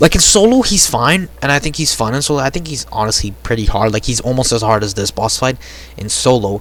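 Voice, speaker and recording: Noticeable background noise accompanies a man's voice. He talks at a fairly quick pace with lively intonation. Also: medium pitch for a man. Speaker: gaming youtuber. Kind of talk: reaction video commentary. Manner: animated.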